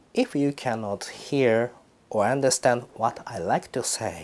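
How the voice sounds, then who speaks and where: A man speaking at a very slow pace. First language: Japanese. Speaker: Buddhist priest. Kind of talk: dharma talk. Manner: halting.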